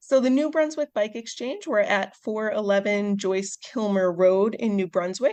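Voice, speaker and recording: A woman with an American accent, fairly high in pitch, at a moderate pace with ordinary pitch variation, in a dry, close sound with no echo. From US Midwest, Chicago suburbs. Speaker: veterinarian and bike shop volunteer. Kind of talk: podcast interview.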